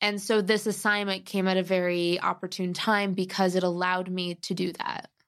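Speaking at a moderate pace with an American accent, a woman of medium pitch keeps a monotone, flat intonation. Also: hardly any pauses. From US Midwest (Cleveland, Chicago). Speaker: travel editor and writer. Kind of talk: casual interview.

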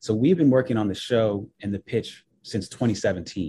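The voice has a dark, mellow tone and is somewhat breathy, moving at a fairly slow pace with ordinary pitch variation. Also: man. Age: 30s. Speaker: TV writer and show creator. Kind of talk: interview.

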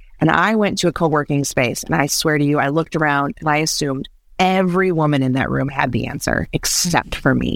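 Delivered at a fairly quick pace, the speech holds a very even loudness. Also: woman, very deep, low pitch for a woman, ordinary pitch variation. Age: 30s. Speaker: creative director and brand designer. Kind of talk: casual chat.

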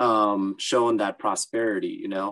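Fairly low male pitch with an American accent, fairly even intonation and a fairly slow pace, in a dry, close sound with no echo. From Southern California (Los Angeles, Orange County). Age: 20s. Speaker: ultra runner. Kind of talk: casual interview.

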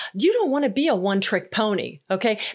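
The delivery is animated and moves at a moderate pace. The recording is very clean, with a silent background. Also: woman. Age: 50s. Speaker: podcast host and leadership coach. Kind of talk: solo podcast monologue.

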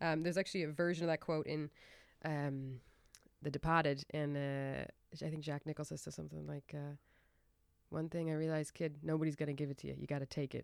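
A woman's very deep, low voice, flat and monotone, at a fairly quick pace broken by long, frequent pauses, on a very clean recording with a silent background. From Ireland. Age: 20s. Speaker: actor and dancer. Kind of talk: casual interview chat.

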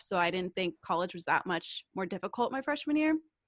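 Over a quiet background, a woman in a plain, everyday voice speaks at a fairly quick pace with an American accent and lively intonation. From US South, Knoxville, Tennessee. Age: 20s. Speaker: YouTuber and entrepreneur. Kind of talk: casual interview.

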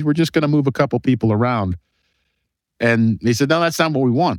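Recorded with a dry, close sound and no echo, a man with an American accent speaks at a fairly quick pace in a fairly high pitch. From Cleveland, Ohio, US. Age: 50s. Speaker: exit planning advisor. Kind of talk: interview. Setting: remote call. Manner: conversational.

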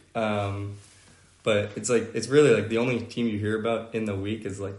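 There is audible room echo. The pace is fairly quick. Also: man. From Atlanta, Georgia. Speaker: college football player. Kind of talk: podcast interview. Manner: hesitant, many fillers.

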